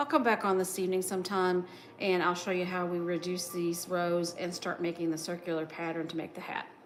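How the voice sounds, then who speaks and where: A woman with a slight Southern US accent, relaxed in tone, at a fairly quick pace with fairly even intonation. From West Virginia. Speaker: crochet livestreamer. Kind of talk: casual livestream chat while crafting. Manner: relaxed, hesitant with fillers.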